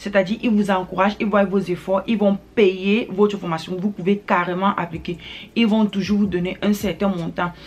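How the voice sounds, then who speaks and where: A woman's somewhat breathy voice at medium pitch, with monotone, flat intonation. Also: moderate pace. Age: young. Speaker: newly licensed commercial pilot, YouTuber. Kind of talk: advice vlog. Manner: hesitant, frequent filler sounds.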